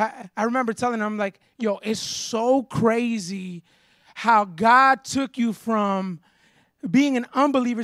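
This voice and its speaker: Speaking at a fairly slow pace with fairly even intonation, a man with an American accent and a high pitch is heard in a very clean, dry, close recording with a silent background and no echo. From Florida. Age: 30s. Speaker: pastor. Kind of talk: sermon.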